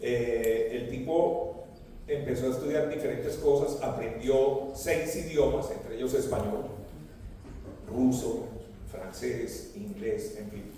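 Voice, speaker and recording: Speaking at a very slow pace with big swings in loudness, a man is heard with audible room echo and noticeable background noise. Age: 70s. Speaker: radio broadcaster. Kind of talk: interview talk.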